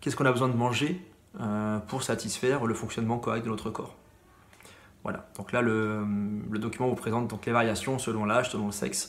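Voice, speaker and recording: Delivered at a fairly quick pace with long, frequent pauses, the speech carries audible room echo and noticeable background noise. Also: man, medium pitch for a man. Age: 30s. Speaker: middle school science teacher. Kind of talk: lecture. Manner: fast; hesitant, many fillers.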